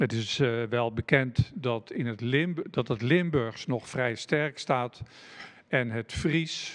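A very slow male voice with ordinary pitch variation, against a quiet background. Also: medium pitch for a man. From Netherlands, South Holland (Delfland). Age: 60s. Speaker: retired Dutch teacher and dialect author. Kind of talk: presentation. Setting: live stream. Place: studio. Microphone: handheld.

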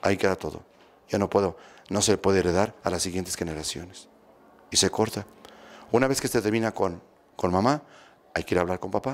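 Speaking at a fairly quick pace with a low pitch, a man leaves long, frequent pauses and shows ordinary pitch variation.

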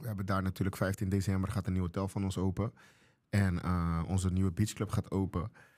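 A man speaks fairly quickly in a very deep, low voice with a dark, mellow tone. His intonation is flat and monotone over a quiet background. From Curaçao. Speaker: chef and restaurant owner; podcast guest. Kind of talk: casual interview. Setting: studio. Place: studio. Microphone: studio mic.

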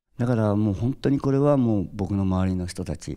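Dark and mellow in tone, a man speaks at a fairly quick pace against a quiet background. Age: 60s. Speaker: drummer; interviewee. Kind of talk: interview; interview answer. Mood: cheerful, reflective. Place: stage. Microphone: handheld.

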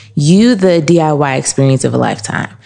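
There is noticeable background noise behind this woman. Her pitch is very deep and low. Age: 30s. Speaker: candle shop owner. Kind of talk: interview. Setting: in her shop.

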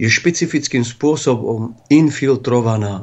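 This man has an unremarkable speaking voice at a medium pitch. He talks at a fairly slow pace. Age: 40s. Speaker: bishop. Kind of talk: religious talk show interview. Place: studio.

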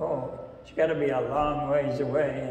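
A man talks at a fairly slow pace with fairly even intonation. Light background noise and audible room echo are present. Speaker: lay preacher. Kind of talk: sermon. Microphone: camera far.

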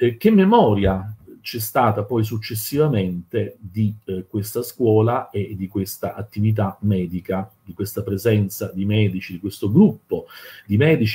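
Lively in intonation, a man speaks at a moderate pace in a fairly low pitch with a slightly mellow tone and a slightly husky edge.

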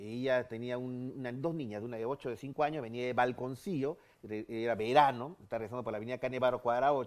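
A man talks fairly quickly in an unremarkable speaking voice, his medium pitch held to fairly even intonation. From Peru. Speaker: ufologist and radio host; radio host. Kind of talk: interview, storytelling. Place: studio.

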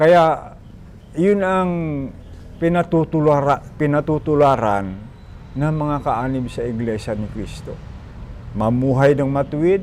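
With music in the background, a man speaks at a fairly slow pace with lively intonation. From Philippines, Bohol. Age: 70s. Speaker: church deacon. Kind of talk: testimony.

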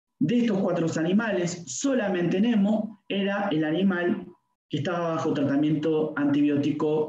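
Delivered at a moderate pace, the speech carries ordinary pitch variation and audible room echo. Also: man. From Argentina, Buenos Aires coast; Argentina. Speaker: veterinarian and lecturer; lecturer. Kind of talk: lecture. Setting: video call. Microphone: video call.

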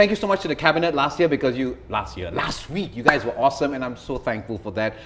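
A man talks over noticeable background noise. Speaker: talk show host. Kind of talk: talk show host monologue. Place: studio.

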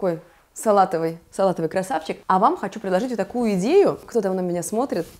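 Her tone is animated, her pitch medium with ordinary variation. The woman speaks at a fairly quick pace. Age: 30s. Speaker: fashion stylist, video blogger; video blogger. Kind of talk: casual vlog, styling tutorial. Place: home room. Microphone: lapel.

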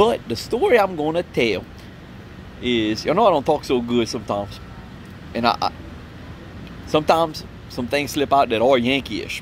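A man with a Cajun accent talks at a moderate pace, his fairly high pitch swinging very widely. There are long, frequent pauses, light background noise and a dry sound with no echo. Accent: Cajun Louisiana English. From Louisiana Cajun country, Opelousas; Louisiana. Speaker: vlogger, Marine veteran; vlogger. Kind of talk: casual storytelling monologue. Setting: outdoors at a campsite. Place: open country. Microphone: phone near.

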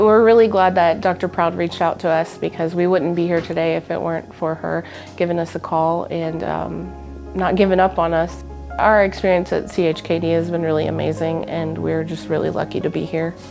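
Music plays clearly in the background. A woman talks at a moderate pace. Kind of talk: interview answer. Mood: emotional, grateful. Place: home room. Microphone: lapel.

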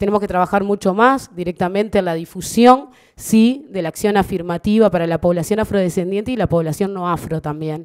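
Against a quiet background, a woman speaks at a fairly quick pace with hardly any pauses and ordinary pitch variation. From Uruguay. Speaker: government official. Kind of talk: formal speech. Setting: stage with audience. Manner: halting. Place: hall. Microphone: podium.

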